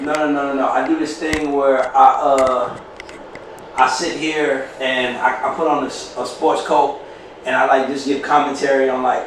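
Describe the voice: A man at a moderate pace, little pitch movement, with audible room echo around him. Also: medium pitch for a man.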